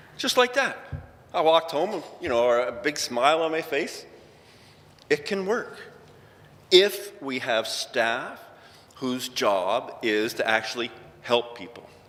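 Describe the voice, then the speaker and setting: A man with a Canadian accent speaks at a very slow pace, with long, frequent pauses and very wide pitch swings. Background noise is noticeable. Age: 60s. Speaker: injured worker advocate. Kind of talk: conference talk. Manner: casual, conversational.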